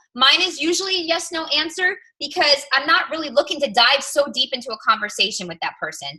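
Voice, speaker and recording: With a high, raised and projected voice, a woman talks very fast in an animated tone with lively intonation and hardly any pauses. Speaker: fitness coach team leader. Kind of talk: team coaching call. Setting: group call. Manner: loud.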